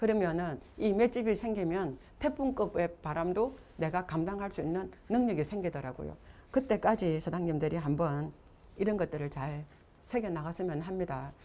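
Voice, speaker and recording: Here a woman speaks at a moderate pace. Her tone is dark and mellow. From Gyeongsang region, South Korea. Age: 60s. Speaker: network marketing business leader. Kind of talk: motivational seminar talk.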